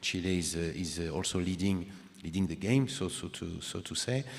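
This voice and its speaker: Very deep, low male pitch in a French accent, from a man. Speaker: panel moderator. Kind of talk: panel discussion.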